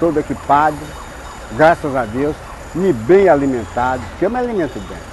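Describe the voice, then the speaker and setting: Noticeable background noise accompanies a man speaking at a moderate pace. His pitch swings very widely. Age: 80s+. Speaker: construction worker. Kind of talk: interview testimony. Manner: halting.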